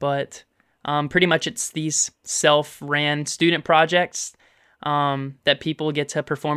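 Close and dry with no echo, a man with an American accent delivers a bright, sharp, fairly high voice in a monotone, flat line. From Memphis, Tennessee / north Mississippi, US South. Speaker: musical theatre student. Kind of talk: casual interview chat. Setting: remote call.

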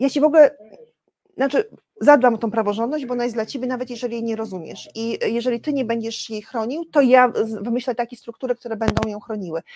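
Talking very rapidly, the woman lets her pitch vary by an ordinary amount. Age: 50s. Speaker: civic activist. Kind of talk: interview. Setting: studio.

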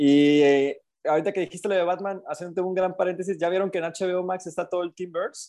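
In a quiet background, a man speaks fairly quickly at a high pitch, with a dark, mellow tone and fairly even intonation. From Coatzacoalcos, Veracruz, Mexico. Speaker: podcast co-host. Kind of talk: casual chat.

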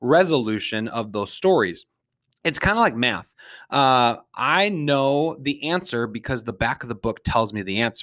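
Lively intonation rises and falls in an Upper Midwest accent on a very clean recording with a silent background. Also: man. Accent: Upper Midwest American. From Minnesota, St. Paul. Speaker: podcast host. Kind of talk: solo podcast monologue.

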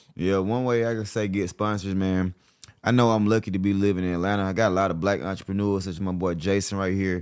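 Speech moves at a very fast pace, its intonation fairly even. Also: man, fairly low pitch for a man. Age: 30s. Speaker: podcast host. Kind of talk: casual interview chat; promotional pitch.

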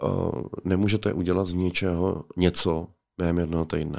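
Over a very clean recording with a silent background, a man speaks in a very deep, low pitch with monotone, flat intonation. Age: 40s. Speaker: police officer and MMA fighter. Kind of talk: interview.

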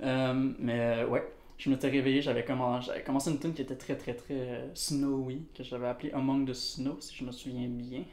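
A man with a medium pitch talks at a fairly slow pace in a monotone, flat intonation, with audible room echo around him. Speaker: musician. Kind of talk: casual chat.

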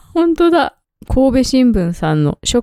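A woman speaks in a dark, mellow tone at a moderate pace. The sound is dry and close, with no echo. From Shizuoka, Japan. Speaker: podcast co-host. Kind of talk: casual chat.

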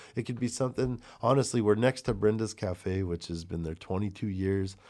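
An ordinary speaking voice moves at a fairly quick pace with ordinary pitch variation, in a very clean recording against a silent background. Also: man. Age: 40s. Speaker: chocolate maker guest.

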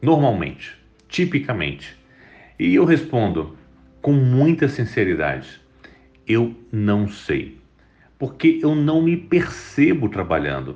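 Pausing long and often, a man delivers his words very slowly. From Espírito Santo, Brazil (Vitória). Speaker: tech entrepreneur. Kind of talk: interview.

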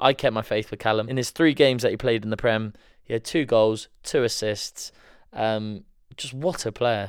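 In a very clean recording with a silent background, a man speaks at a moderate pace with a medium pitch and ordinary pitch variation. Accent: Welsh. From Wales. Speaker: podcast co-host. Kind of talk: casual chat.

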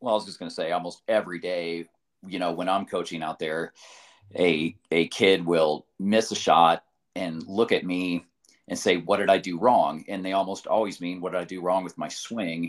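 On a very clean recording with a silent background, a man with a very deep, low voice speaks at a moderate pace with fairly even intonation and big swings in loudness. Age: 40s. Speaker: tennis coach and podcast host. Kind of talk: casual chat.

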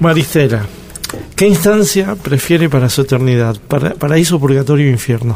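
Music plays in the background as a man with a fairly high pitch talks at a moderate pace, his intonation lively and his loudness very even. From Argentina, Río Negro. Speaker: radio host and cartoonist. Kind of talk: radio interview.

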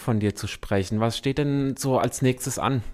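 At a fairly slow pace, a man talks at a medium pitch with ordinary pitch variation, in a very clean recording with a silent background. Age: 40s. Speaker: community radio host. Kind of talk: casual interview. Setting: radio studio. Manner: hesitant, many fillers.

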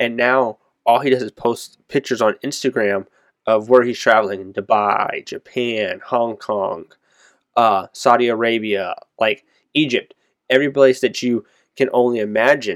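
A man with a plain, everyday voice speaks at medium pitch with fairly even intonation. The recording is very clean with a silent background, and the sound is dry and close with no echo. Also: moderate pace. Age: 20s. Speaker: podcast co-host. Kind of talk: casual chat.

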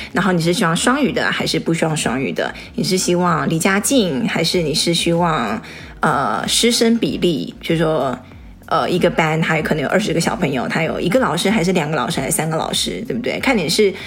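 With audible room echo and noticeable background noise, a woman speaks fairly quickly at a fairly low pitch, her pitch swinging very widely. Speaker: podcast co-host. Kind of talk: casual chat.

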